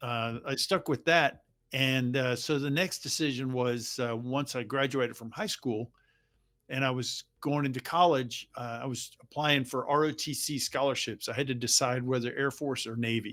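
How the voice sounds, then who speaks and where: Heard on a very clean recording with a silent background, a normal speaking voice with an American accent moves at a moderate pace with fairly even intonation. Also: man, medium pitch for a man. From US South, Jacksonville, Florida. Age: 60s. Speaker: retired navy aviator. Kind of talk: interview.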